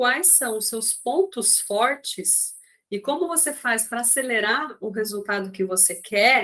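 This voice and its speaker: A woman speaks very slowly with lively intonation. Her tone is bright and sharp, with a fairly high pitch. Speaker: coach. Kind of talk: online class.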